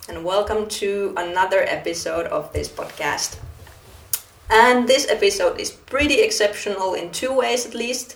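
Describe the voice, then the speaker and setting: A woman at a fairly slow pace with big swings in loudness over noticeable background noise. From Finland. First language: Finnish. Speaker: podcast host. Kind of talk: interview conversation; podcast intro.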